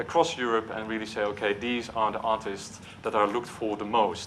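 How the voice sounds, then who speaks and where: In a Dutch accent, a man with a medium pitch speaks at a moderate pace, with audible room echo and noticeable background noise. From Netherlands. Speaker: marketing executive. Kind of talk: conference talk. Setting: stage with audience. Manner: hesitant, with filler words.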